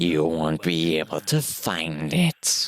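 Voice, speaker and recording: In a put-on character voice, a man speaks at a very deep, low pitch, very slowly and in a monotone, flat intonation, with hissing and a dry, close sound with no echo. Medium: game stream. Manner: hissing, cryptic, condescending.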